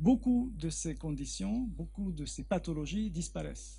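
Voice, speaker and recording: Audible echo fills the room as the words come at a fairly slow rate. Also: man. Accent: Hungarian. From Hungary. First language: Hungarian (speaking French). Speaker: research biologist. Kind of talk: Q&A after a lecture. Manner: halting, with repetitions.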